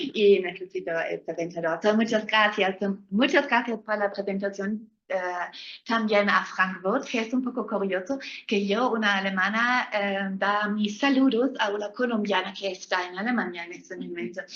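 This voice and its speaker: With a German accent, a woman speaks with ordinary pitch variation. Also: medium pitch for a woman, moderate pace. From Germany. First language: German (speaking Spanish). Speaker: law professor. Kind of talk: lecture. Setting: lecture hall with live and online audience. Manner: halting.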